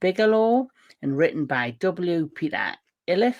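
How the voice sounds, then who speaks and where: A woman with a British accent speaks at a fairly slow pace with lively intonation. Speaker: film podcast host.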